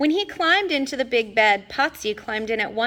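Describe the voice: Lively intonation in plain reading aloud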